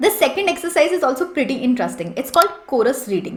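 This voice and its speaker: A woman talks at a very fast pace and a high pitch, her voice making very wide pitch swings. Noticeable background noise is present. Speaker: English and interview-prep coach. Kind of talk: tutorial.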